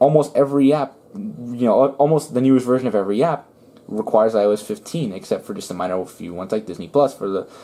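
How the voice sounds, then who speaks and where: A man mumbles at a very fast pace with a medium pitch. His pitch swings very widely over noticeable background noise. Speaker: tech YouTuber. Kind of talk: casual tech review vlog. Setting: indoors in bedroom at home. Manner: mumbling; stutter at times.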